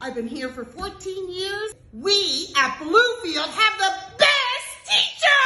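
A woman's extremely high-pitched, raised and projected voice moves very slowly through very wide pitch swings, with audible echo from the room. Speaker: resource teacher. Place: classroom. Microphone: phone near.

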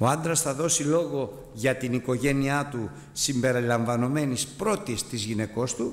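A man with ordinary pitch variation, speaking with hardly any pauses. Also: fairly slow pace. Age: 60s. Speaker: preacher. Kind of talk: sermon. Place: church. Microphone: podium.

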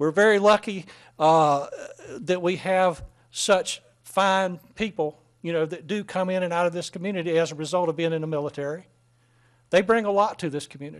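High-pitched male voice with a Southern US accent and fairly even intonation, against a quiet background. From North Carolina, US. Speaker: mayor chairing council meeting. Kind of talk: council meeting proceedings. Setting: council chamber. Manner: halting, many fillers. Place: hall. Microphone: podium.

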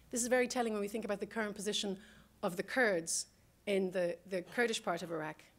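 In an Irish accent, a woman talks at a very fast pace. Her pitch is medium, with ordinary variation. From Ireland. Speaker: political scientist; guest lecturer. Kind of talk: panel talk. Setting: stage with audience. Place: classroom.

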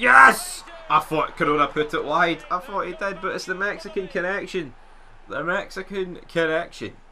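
A man shouts in a high voice with a Scottish accent, speaking at a moderate pace over noticeable background noise. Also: ordinary pitch variation. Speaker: gaming YouTuber. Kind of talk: live commentary. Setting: gameplay voiceover. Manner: excitable; animated, loud.

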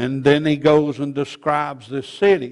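A man speaks with a quiet background. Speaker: preacher. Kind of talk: sermon. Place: church. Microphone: podium.

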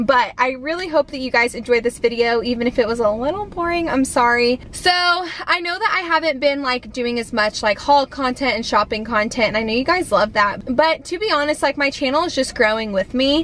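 A woman with a high-pitched, fairly bright voice talks at a fairly quick pace, with few pauses and ordinary pitch variation. Faint background noise can be heard.

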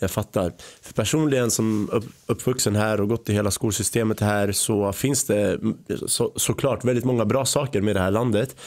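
An ordinary speaking voice at a moderate pace, fairly even intonation, quiet background. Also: man, fairly low pitch for a man. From Sweden, born in Iraq, arrived age 5. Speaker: podcast host. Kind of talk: podcast interview. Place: studio. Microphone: studio mic.

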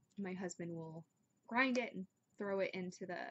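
A woman speaks at a moderate pace with a fairly low pitch and ordinary pitch variation.

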